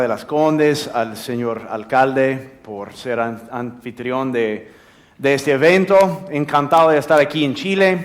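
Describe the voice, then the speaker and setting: An American accent comes through with ordinary pitch variation. The room adds audible echo. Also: man. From United States. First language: English (speaking Spanish). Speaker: drug policy expert. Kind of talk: conference talk. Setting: theater stage with audience. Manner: halting, repeats words.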